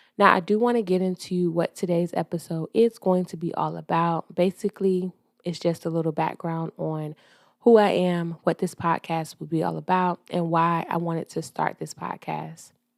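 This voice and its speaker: With a Southern US accent, a woman talks at a moderate pace in a fairly low voice and fairly even intonation, on a very clean recording with a silent background. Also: dry, close sound with no echo. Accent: Southern US (Georgia). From US South, Georgia. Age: 30s. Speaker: podcast host. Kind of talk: casual monologue podcast. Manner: casual, hesitant with fillers.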